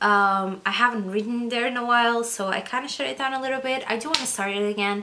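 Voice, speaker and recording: Through noticeable background noise, a woman with a fairly high voice talks at a very fast pace with fairly even intonation. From Portugal. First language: Portuguese. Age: 20s. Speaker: book vlogger. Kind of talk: casual vlog talk.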